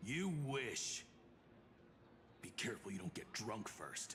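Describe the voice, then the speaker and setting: With clear background noise behind him, a man does a raspy, put-on character voice. He speaks at a fairly slow pace with a medium pitch. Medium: video game. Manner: confident, gallant.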